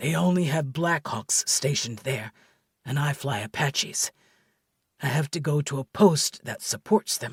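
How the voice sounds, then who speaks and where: Doing a raspy put-on character voice, a man speaks at a moderate pace with fairly high pitch and ordinary pitch variation, in a dry, close sound with no echo on a very clean recording with a silent background. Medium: audio drama. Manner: calm, measured.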